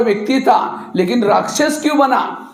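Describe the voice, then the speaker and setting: A man speaks in an animated tone with ordinary pitch variation. Audible room echo and noticeable background noise surround his voice. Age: 60s. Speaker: spiritual speaker. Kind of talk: motivational talk to students. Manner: animated, rhetorical questions.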